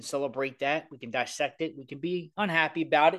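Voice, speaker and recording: A man speaks at a fairly quick pace with a strong Baltimore accent and a fairly high pitch. The background is quiet. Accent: thick Baltimore. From Baltimore, Maryland. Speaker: sports podcast co-host. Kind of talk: casual chat. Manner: animated.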